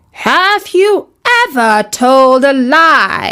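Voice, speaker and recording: In a put-on character voice, a female-sounding speaker uses a high pitch and a stern tone. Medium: read story. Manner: squawking, stern.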